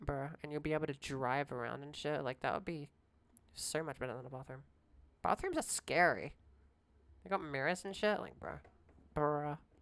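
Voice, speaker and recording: A woman with a very deep, low pitch and vocal fry talks at a moderate pace with ordinary pitch variation. Her loudness swings widely, and she takes long, frequent pauses. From Australia. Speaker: streamer. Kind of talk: casual live stream chat. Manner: animated.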